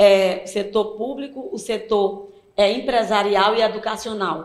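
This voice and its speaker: A woman's fairly high voice comes through with audible room echo. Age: 60s. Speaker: cultural association president. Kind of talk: interview.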